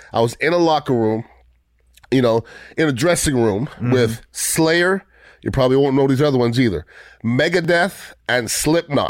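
In an ordinary speaking voice, a man talks at a moderate pace with medium pitch, ordinary pitch variation and very even loudness. The recording is very clean, with a silent background. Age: 50s. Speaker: podcast host. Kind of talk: casual chat.

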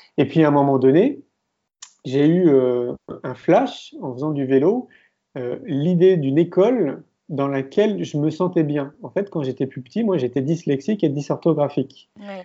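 A man's fairly high voice, an ordinary speaking voice, with lively intonation, big swings in loudness and a fairly slow pace. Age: 40s. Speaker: filmmaker and entrepreneur. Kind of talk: interview.

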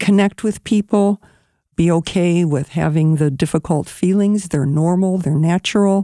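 Recorded very cleanly with a silent background and a dry, close sound with no echo, a woman talks at a moderate pace in a plain, everyday voice. Her pitch is fairly low, with ordinary variation and very even loudness. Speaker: social worker. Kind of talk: interview.

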